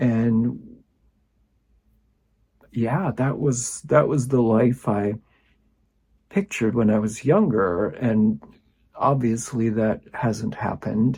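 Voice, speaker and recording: Somewhat breathy, a man speaks in a dark, mellow tone. The recording is very clean, with a silent background. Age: 60s. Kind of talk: personal reflection talk to camera.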